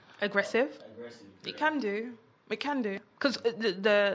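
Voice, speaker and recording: A woman talks at a fairly quick pace in a London accent. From London (Peckham). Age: 30s. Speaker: entrepreneur. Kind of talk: casual chat. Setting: studio.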